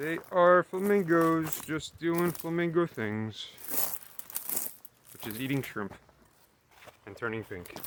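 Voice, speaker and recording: Over noticeable background noise, a man with a fairly high pitch speaks at a very slow pace with lively intonation, big swings in loudness and long, frequent pauses. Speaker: travel vlogger. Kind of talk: casual vlog narration. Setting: outdoors.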